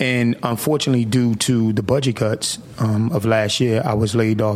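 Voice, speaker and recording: With noticeable background noise behind him, a man speaks in an American accent at a medium pitch and with fairly even intonation. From US Northeast, Atlantic City, New Jersey. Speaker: city council president. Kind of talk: radio interview. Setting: radio studio.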